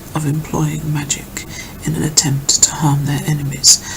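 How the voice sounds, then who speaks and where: Soft-spoken and whispering, a woman talks at a fairly slow pace against noticeable background noise. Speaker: ASMR creator. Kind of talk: ASMR reading of an encyclopedia article. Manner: whispered, soft-spoken.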